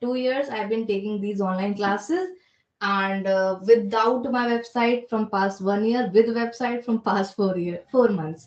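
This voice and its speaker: In an Indian accent, a woman talks at a fairly slow pace with a fairly high pitch and ordinary pitch variation. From India, Delhi. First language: Hindi. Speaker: spoken English trainer and career coach. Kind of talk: interview. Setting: phone call.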